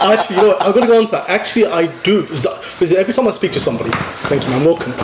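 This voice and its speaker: A man's high-pitched voice at a very fast pace with lively intonation, over noticeable background noise. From England. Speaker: podcast host. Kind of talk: casual chat.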